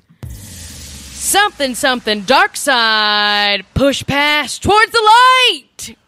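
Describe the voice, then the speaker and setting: Over music in the background, a woman with an American accent speaks at a very slow pace. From Louisiana, US South. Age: 30s. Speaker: comedian and actor. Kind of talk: casual chat.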